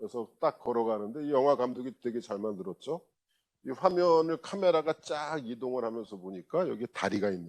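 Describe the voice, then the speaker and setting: Speaking at a fairly quick pace, a man with a medium pitch shows big swings in loudness and very wide pitch swings. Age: 60s. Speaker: university lecturer. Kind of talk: lecture. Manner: casual, conversational with filler sounds.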